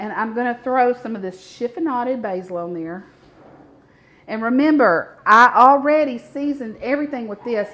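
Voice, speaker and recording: Her voice is high in pitch, with lively intonation and big swings in loudness. The woman speaks at a moderate pace in a strong Mississippi accent. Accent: thick Southern (Mississippi). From US South, north Mississippi near Memphis. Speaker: cooking show host. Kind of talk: live cooking demonstration. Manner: animated, chatty.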